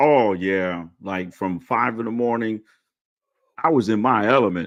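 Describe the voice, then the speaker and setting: A man at a medium pitch, animated in tone, at a fairly slow pace. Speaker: retired Marine sergeant major, podcast host. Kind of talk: casual interview chat.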